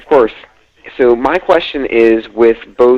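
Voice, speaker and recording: This man's voice sits at a medium pitch with ordinary pitch variation, moving at a fairly slow pace. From Pennsylvania. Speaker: caller. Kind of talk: call-in question. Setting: phone call.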